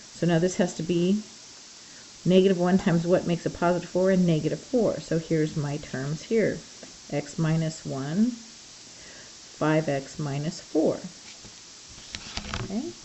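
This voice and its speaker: With noticeable background noise behind her, a woman speaks at a fairly low pitch with ordinary pitch variation and long, frequent pauses. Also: moderate pace. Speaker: math teacher. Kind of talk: recorded math lesson. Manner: conversational, thinking aloud.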